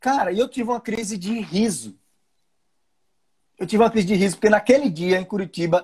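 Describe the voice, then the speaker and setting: In a northeastern Brazilian accent, a man talks at a very fast pace. His tone is animated and his pitch high. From Brazilian Northeast. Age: 40s. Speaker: livestream host. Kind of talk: casual chat.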